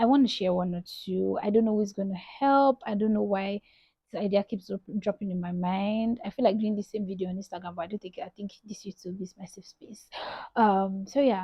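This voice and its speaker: A woman with a medium-pitched, somewhat breathy voice talks at a fairly quick pace. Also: fairly even intonation. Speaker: lifestyle vlogger. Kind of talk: casual vlog talk.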